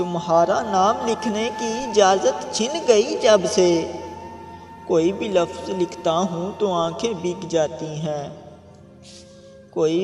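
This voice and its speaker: Music plays behind a man. His pitch is high, with ordinary pitch variation. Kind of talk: poetry reading. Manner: sad, emotional.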